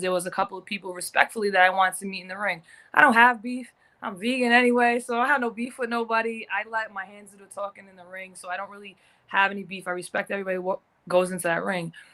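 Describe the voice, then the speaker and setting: A woman talks very fast at a medium pitch, with a bright, sharp tone and big swings in loudness. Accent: American. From US Northeast, Providence, Rhode Island. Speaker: professional boxer. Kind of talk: casual interview.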